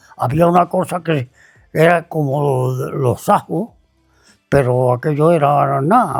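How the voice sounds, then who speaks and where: A man at a very slow pace with lively intonation, music in the background. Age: 80s+. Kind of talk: interview answer, life story.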